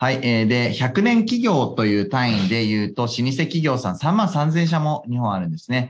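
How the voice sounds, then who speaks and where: A man speaks at a medium pitch with very wide swings in pitch. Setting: studio.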